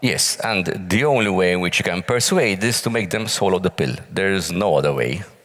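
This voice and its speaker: Lively intonation and very even loudness come through audible room echo and noticeable background noise. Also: man, very deep, low pitch for a man, fairly quick pace. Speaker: pensions working group member. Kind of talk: panel interview. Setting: stage with audience.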